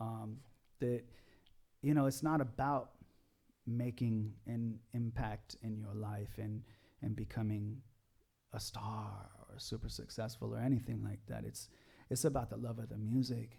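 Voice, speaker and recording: With long, frequent pauses and big swings in loudness, a man speaks in a dark, mellow, somewhat breathy tone. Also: medium pitch for a man, fairly even intonation, fairly slow pace. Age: 40s. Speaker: pop rock musician. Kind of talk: casual chat.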